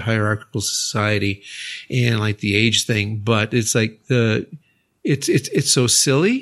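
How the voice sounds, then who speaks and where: This man has an unremarkable speaking voice at medium pitch. He talks with an American accent. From United States. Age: 60s. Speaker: university English teacher, podcast co-host. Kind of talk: casual chat.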